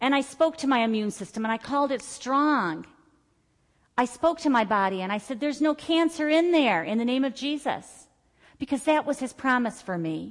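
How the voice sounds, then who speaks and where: A woman's high voice has a warm tone and lively intonation at a moderate pace. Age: 50s. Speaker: Bible study teacher. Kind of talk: church Bible study teaching, personal healing testimony woven into scripture exposition. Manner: earnest, declarative testimony with rhythmic repeated phrases; conversational and warm, with filler words and self-corrections.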